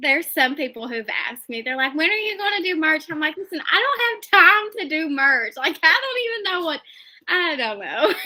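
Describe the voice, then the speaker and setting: The voice is raised and projected, in an Appalachian accent. It moves at a moderate pace with very wide pitch swings. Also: woman, extremely high pitch for a woman. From Appalachia, West Virginia. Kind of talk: interview answer.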